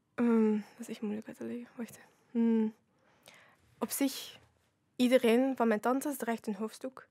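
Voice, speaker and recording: A woman speaks in a fairly high voice with a dark, mellow tone and monotone, flat intonation, leaving long, frequent pauses. Her loudness swings widely, and the sound is dry with no echo over a quiet background. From Flanders, Belgium. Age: 20s. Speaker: youth ambassador; podcast guest. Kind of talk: casual chat. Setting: studio. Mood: calm, reflective. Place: studio. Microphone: studio mic.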